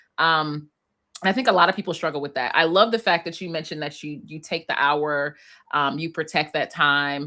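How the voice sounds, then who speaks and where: Speaking at a fairly quick pace with an American accent, a woman has a very deep, low pitch and a bright, sharp tone. Her loudness swings a lot. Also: ordinary pitch variation. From Philadelphia, US. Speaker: clinical psychologist. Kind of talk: webinar interview.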